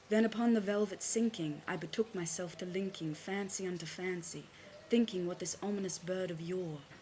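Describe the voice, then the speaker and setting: Somewhat breathy and dark, mellow in tone, a woman talks at medium pitch with fairly even intonation. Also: moderate pace. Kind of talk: poetry reading.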